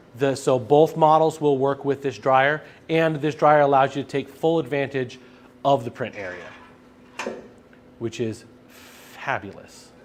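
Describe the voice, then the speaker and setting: At a fairly slow pace, a man with a fairly high pitch and ordinary pitch variation speaks with long, frequent pauses. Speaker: sales presenter for printing supplies. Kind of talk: live stream product demo with Q&A. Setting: live stream studio with camera over printer. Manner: loud.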